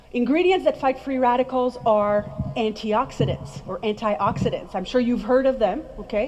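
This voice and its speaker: A woman speaks at a high pitch and a moderate pace with ordinary pitch variation. Noticeable background noise sits behind her. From France. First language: French. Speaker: skincare trainer. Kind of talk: presentation to audience. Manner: animated.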